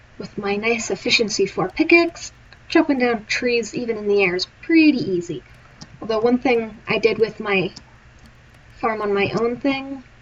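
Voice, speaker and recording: A woman's fairly high voice with lively intonation at a moderate pace, against noticeable background noise. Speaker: gaming streamer. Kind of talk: live gameplay commentary. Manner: casual counting aloud.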